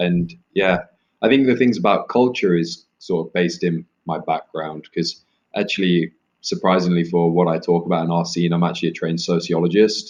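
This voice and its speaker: The speaker has an East Midlands accent and ordinary pitch variation. The pace is moderate. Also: man, very deep, low pitch for a man. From England, Leicester (East Midlands). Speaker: author. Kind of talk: interview.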